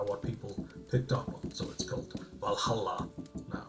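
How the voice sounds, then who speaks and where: With music in the background, a man speaks at a moderate pace in a medium pitch. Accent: Icelandic. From Iceland. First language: Icelandic. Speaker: podcast host. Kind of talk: casual chat explaining terminology.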